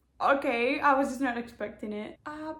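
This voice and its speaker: A woman's high-pitched, fairly slow speech with a non-native accent and ordinary pitch variation. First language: not English. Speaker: booktuber. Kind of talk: casual vlog chat.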